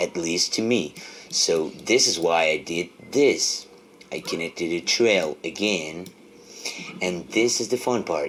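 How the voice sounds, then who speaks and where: A man with a very deep, low pitch speaks very slowly, leaving long, frequent pauses. Background noise is noticeable. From Argentina. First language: Spanish. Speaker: music tech tutorial creator. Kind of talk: tutorial. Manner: halting.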